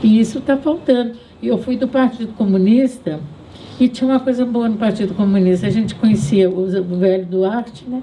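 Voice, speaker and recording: A woman's fairly high pitch against noticeable background noise. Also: ordinary pitch variation, moderate pace. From Brazil, Southeast. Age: 80s+. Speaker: feminist activist and writer. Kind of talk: public talk. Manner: halting.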